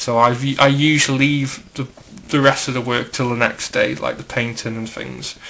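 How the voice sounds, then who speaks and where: Noticeable background noise sits behind a man speaking in a British accent with monotone, flat intonation. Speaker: hobbyist custom figure maker. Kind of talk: tutorial. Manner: casual, filler-heavy.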